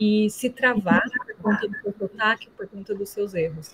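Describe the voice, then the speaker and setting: A woman at a fairly slow pace and fairly high pitch, over noticeable background noise. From Brazil. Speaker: alumna, environmental professional. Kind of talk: online talk to students. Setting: video call.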